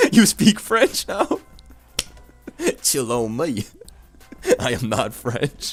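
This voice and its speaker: At a very slow pace with long, frequent pauses, a man speaks at medium pitch with very wide pitch swings while music plays in the background. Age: 20s. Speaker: Pokemon streamer. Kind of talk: live-stream gaming commentary. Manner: animated.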